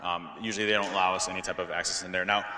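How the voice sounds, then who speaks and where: Over noticeable background noise, a man with an American accent speaks at a very fast pace with fairly even intonation. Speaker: security expert and keynote speaker. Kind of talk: conference Q&A. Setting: stage with audience. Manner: repetitive, stammering filler.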